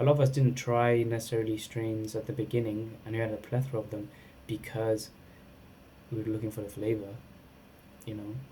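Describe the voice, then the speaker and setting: A man speaks in a medium pitch with a dark, mellow tone, a somewhat breathy quality and monotone, flat intonation. He keeps a fairly quick pace, broken by long, frequent pauses. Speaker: cannabis product reviewer. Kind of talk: casual vlog review. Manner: halting, many false starts.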